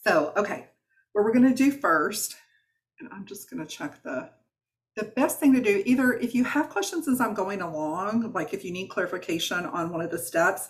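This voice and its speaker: With a Southern US accent, a woman speaks in an animated tone at a medium pitch, with very wide pitch swings and big swings in loudness. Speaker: wellness coach. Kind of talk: online workshop. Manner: fast.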